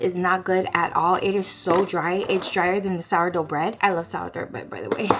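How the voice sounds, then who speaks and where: A woman talks in an animated tone at a medium pitch. Noticeable background noise runs behind her. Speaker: lifestyle vlogger. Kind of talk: casual vlog chat. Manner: fast.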